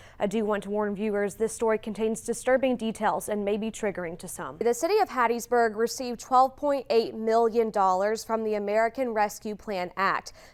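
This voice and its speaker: A woman with a plain, everyday voice speaks at a fairly quick pace and fairly high pitch, with ordinary pitch variation and hardly any pauses. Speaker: TV news reporter. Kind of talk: TV news report.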